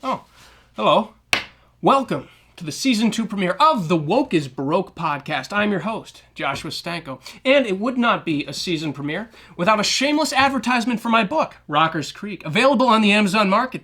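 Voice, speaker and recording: A man with an American accent uses a raised, projected voice at a high pitch with a bright, sharp tone. His pitch swings very widely. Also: fairly quick pace. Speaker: podcast host. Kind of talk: podcast monologue.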